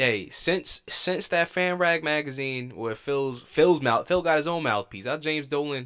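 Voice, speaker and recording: Recorded very cleanly against a silent background, a man with a normal speaking voice talks at a fairly slow pace with hardly any pauses, his fairly high pitch showing ordinary pitch variation. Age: 20s. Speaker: sports podcast co-host. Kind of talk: casual sports chat.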